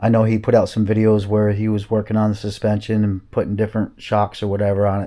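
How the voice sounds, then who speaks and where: A man's fairly low-pitched voice, dark and mellow in tone, over a quiet background. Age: 60s. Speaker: snowmobile YouTuber. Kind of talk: casual vlog monologue. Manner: halting, many fillers.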